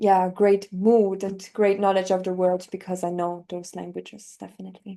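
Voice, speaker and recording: A woman with a German accent, medium pitch, dark and mellow tone, monotone and flat intonation, big swings in loudness, moderate pace and hardly any pauses. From northern Italy. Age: 20s. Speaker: polyglot language learner. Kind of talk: interview.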